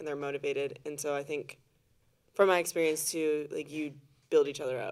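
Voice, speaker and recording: A woman with a very deep, low pitch talks at a fairly quick pace in a monotone, flat delivery, with big swings in loudness and long, frequent pauses. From US military family, moved around incl. Japan and Europe. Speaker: former college volleyball player and graduate student. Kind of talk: casual chat.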